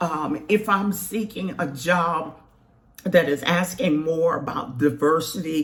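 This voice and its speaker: Noticeable background noise sits behind a woman's voice. Her pitch is fairly low, with ordinary variation. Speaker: career counselor. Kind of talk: tutorial. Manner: casual, conversational.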